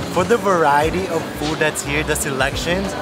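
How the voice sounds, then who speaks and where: Music plays in the background as a man speaks. His pace is fairly quick, his pitch variation ordinary. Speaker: travel food vlogger. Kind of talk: casual vlog chat. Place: market. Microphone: phone near.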